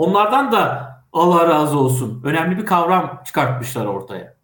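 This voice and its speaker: Audible room echo surrounds a man whose voice sits at a high pitch. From Turkey, Kastamonu. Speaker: head of an AI policy association and TV tech show moderator. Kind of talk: interview.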